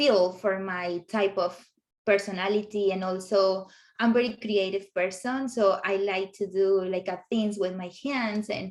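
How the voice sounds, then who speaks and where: A woman speaks with a Colombian accent at a medium pitch. Her pace is fairly slow and her intonation fairly even. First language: Spanish. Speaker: professional home organizer. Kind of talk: interview. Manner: halting with fillers. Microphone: sound problems at start.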